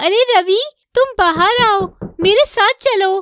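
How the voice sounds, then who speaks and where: A cartoonish character voice from a woman, extremely high in pitch, at a fairly slow pace. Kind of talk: animated horror story narration.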